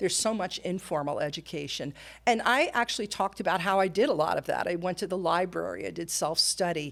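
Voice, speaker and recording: A woman's very fast speech with vocal fry. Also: medium pitch for a woman, ordinary pitch variation, very clean recording, silent background. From New Jersey. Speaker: nurse and career coach. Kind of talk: interview. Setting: podcast.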